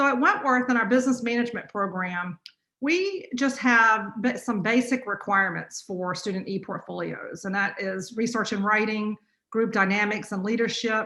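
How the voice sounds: A woman with a North Carolina accent speaks at a moderate pace in a bright, sharp, medium-pitched voice with ordinary pitch variation and audible room echo. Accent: North Carolina, US Southern.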